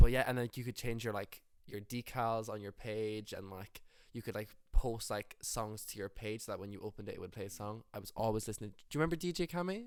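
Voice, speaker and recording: Speaking in an Irish accent, a man talks very fast at medium pitch with ordinary variation. His loudness swings a lot. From Ireland, rural Roscommon. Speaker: musician. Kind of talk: casual interview chat.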